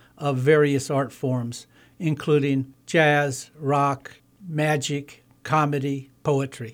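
At a very slow pace, a man talks in a monotone, flat intonation at a fairly high pitch. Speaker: artist and puppeteer. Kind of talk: casual radio conversation. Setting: radio studio.

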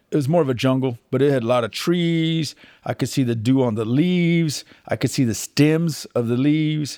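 On a very clean recording with a silent background, a man with a Texan accent speaks in a dark, mellow tone with ordinary pitch variation. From Texas. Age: 50s. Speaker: butcher and goat farmer, COVID survivor. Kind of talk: personal testimony interview. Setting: outdoors on farm.

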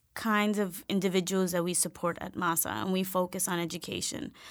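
In a very clean recording with a silent background, a woman with an American accent talks at a moderate pace in a medium-pitched, unremarkable speaking voice. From New York, South Bronx. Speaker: education nonprofit director. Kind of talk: interview.

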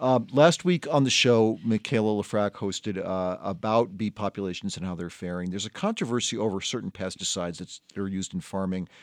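A man with a normal speaking voice, fairly low in pitch, at a fairly quick pace with ordinary pitch variation and hardly any pauses, in a dry, close sound with no echo over a quiet background. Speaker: radio host. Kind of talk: radio panel discussion. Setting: studio.

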